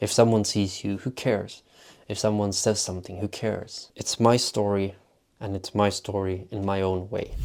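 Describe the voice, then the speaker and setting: Here a man speaks with a Swedish accent in a flat monotone. The recording is very clean, with a silent background. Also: fairly low pitch for a man, moderate pace. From Sweden. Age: 20s. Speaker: vlogger. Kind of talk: vlog monologue.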